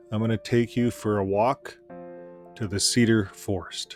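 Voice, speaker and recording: Soft-spoken, a man talks at a fairly slow pace in a medium pitch with fairly even intonation. Long, frequent pauses occur, and music plays in the background. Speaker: ex-Jehovah's Witness channel host. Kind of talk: reflective nature narration. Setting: outdoors.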